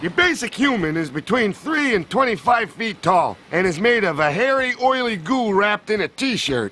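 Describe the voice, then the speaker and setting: A man puts on a cartoonish character voice, pitched high, talking at a moderate pace with hardly any pauses. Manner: brash, boastful.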